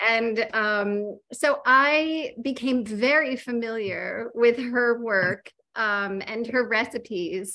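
In an American accent, a woman speaks very slowly at a fairly high pitch, with a bright, sharp tone and ordinary pitch variation. She leaves hardly any pauses, and the background is quiet. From Minnesota, US. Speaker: cookbook author and baker; interviewer. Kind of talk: casual interview chat. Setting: video call. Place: kitchen. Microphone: video call.

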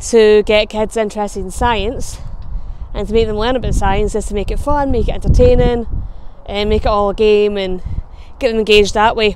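A woman with a Scottish accent speaks at a fairly quick pace and fairly high pitch, her intonation fairly even. The sound is dry with no echo, with light background noise. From Scotland. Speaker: travel vlogger. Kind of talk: casual talk to camera. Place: street. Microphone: lapel.

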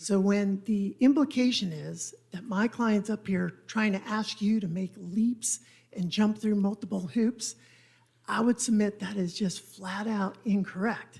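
A woman speaks quietly and somewhat breathily at a medium pitch, her tone dark and mellow. Her intonation is fairly even and her pace fairly slow. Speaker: attorney for an applicant. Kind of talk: legal argument at a council hearing. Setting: council chamber.

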